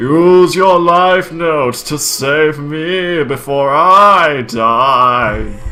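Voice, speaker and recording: Putting on a character voice, a man talks very slowly at a fairly high pitch while clear music plays in the background. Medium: read story. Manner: creepy.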